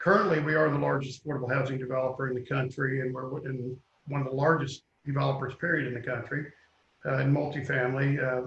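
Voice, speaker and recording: A man talks in a Kentucky accent. His delivery is very fast and monotone, with flat intonation. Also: medium pitch for a man. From Kentucky, Louisville. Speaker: real estate developer. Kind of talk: interview.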